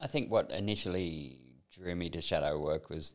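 A man's very deep, low voice with an Australian accent, fairly slow, with ordinary pitch variation. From Sydney, northern beaches, Australia. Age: 60s. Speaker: former fashion industry worker, workshop graduate. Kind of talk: personal testimony in interview.

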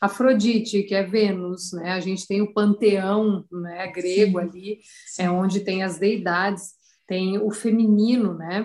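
In a flat, monotone intonation, a woman talks at a fairly slow pace. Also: medium pitch for a woman. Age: 40s. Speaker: astrologer. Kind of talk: interview.

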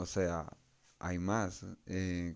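A man's very deep, low voice with a Peruvian accent on a very clean recording with a silent background. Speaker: tech podcast host. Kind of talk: solo tech podcast monologue. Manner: casual, with frequent fillers.

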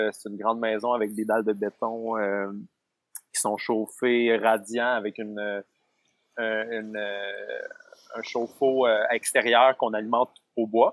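A man at medium pitch with monotone, flat intonation, a very slow pace and long, frequent pauses. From Quebec. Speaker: self-employed forest dweller. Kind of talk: interview. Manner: halting. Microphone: lag on the line.

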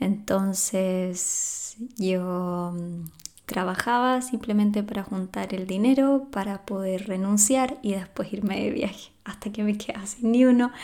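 With a Chilean accent, the speaker goes at a fairly slow pace and keeps a fairly even intonation. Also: woman. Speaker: podcast host and life coach. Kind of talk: solo podcast monologue.

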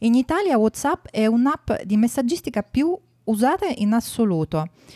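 At a moderate pace, a woman with a fairly high pitch and a dark, mellow tone makes very wide pitch swings on a very clean recording with a silent background. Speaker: podcast host. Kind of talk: interview intro and chat.

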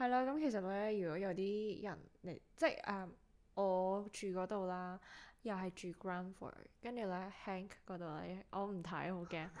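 A woman speaks in a normal speaking voice at medium pitch and a fairly slow pace, with ordinary pitch variation. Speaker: podcast co-host. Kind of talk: casual chat.

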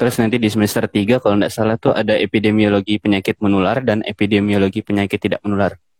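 Speaking at a very fast pace with hardly any pauses, a man holds a fairly low pitch in a monotone, flat intonation. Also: dry, close sound with no echo. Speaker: public health student. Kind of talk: casual panel talk in an online live session.

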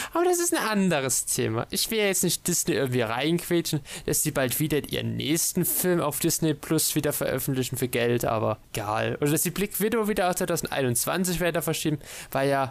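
A man with an ordinary speaking voice talks at a fairly quick pace and fairly high pitch, his intonation lively and his loudness very even, in a very clean recording with a silent background. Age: 20s. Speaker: podcast co-host. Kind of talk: casual chat.

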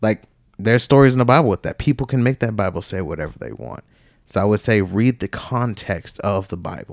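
A man with an unremarkable speaking voice talks at a fairly quick pace in a fairly low pitch, with ordinary pitch variation. His loudness swings widely on a very clean recording with a silent background. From US South, Georgia. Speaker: podcast co-host, army veteran. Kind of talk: testimony. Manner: casual, filler-heavy speech.

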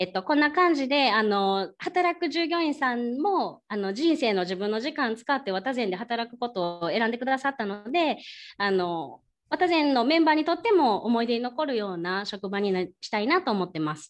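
Against a quiet background, a woman talks in a high pitch with very wide pitch swings. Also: moderate pace. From Kyoto, Japan. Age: 30s. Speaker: ryokan young proprietress. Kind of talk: presentation with slides.

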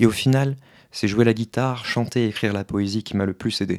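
A man with an unremarkable speaking voice talks at a moderate pace and fairly even intonation in a very clean recording with a silent background. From France. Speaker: human design practitioner. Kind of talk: interview.

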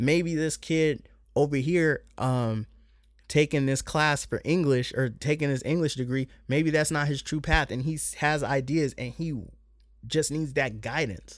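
A man has a plain, everyday voice, fairly high in pitch with fairly even intonation. He speaks at a fairly slow pace on a very clean recording with a silent background. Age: 30s. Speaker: podcast host. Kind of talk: casual solo monologue. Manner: casual, many filler words.

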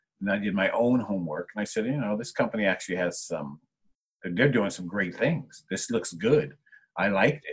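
A man with an American accent and an ordinary speaking voice, fairly low in pitch, with lively intonation at a moderate pace. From New Jersey, Jersey Shore (Monmouth County). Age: 50s. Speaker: artist and art entrepreneur. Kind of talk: casual interview.

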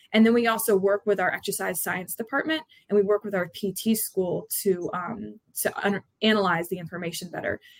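In an ordinary speaking voice, a woman talks at a fairly quick pace and medium pitch with ordinary pitch variation, in a dry, close sound with no echo. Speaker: college lacrosse head coach. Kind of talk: interview.

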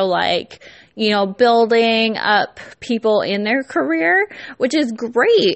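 Her words come out very slowly. This woman talks in an American accent. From California. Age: 20s. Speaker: podcast host and startup founder. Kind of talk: casual solo podcast monologue. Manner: giggly, many fillers.

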